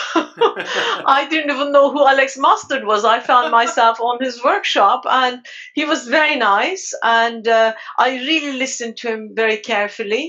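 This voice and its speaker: With a Turkish accent, a woman speaks at a high pitch and moderate pace, with ordinary pitch variation. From Turkey. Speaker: underwater photographer. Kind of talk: casual chat.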